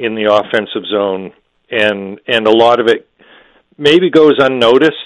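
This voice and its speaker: A man talks in a plain, everyday voice at medium pitch, fairly slow, with ordinary pitch variation. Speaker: hockey journalist. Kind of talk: casual sports analysis chat.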